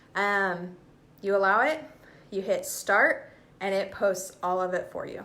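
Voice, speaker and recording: Amid audible room echo, a woman talks in an animated tone at medium pitch. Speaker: direct sales consultant. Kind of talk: live stream Q&A tutorial. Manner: casual, animated.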